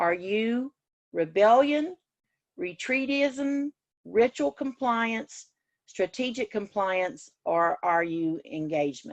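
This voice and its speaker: Very slow speech with very wide pitch swings. The sound is dry and close with no echo, against a quiet background. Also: woman, fairly high pitch for a woman. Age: 60s. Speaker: teacher educator. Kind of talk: lecture. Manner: casual.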